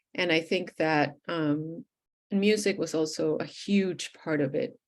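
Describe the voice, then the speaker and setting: Speaking very slowly with a Spanish accent, a woman uses a fairly low pitch and ordinary pitch variation. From Venezuela (Caracas). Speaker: poet. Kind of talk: interview.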